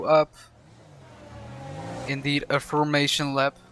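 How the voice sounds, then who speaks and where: With a Dutch accent, a man speaks in a fairly high, monotone, flat voice, the sound dry and close with no echo, and noticeable background noise behind him. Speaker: sim racing commentator. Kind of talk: live commentary. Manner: halting, frequent repetitions.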